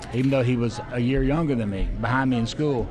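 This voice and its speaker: A man with an Alabama accent and ordinary pitch variation, plus audible room echo and music in the background. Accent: Alabama Southern US. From US South. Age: 60s. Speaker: city council president and former TV weatherman. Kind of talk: casual interview chat. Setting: restaurant.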